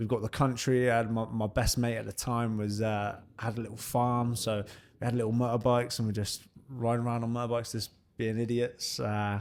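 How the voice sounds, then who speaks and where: A man speaks with a southern English accent at a moderate pace and medium pitch. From southern England, Bournemouth area (Dorset). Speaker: professional boxer. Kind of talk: casual interview chat.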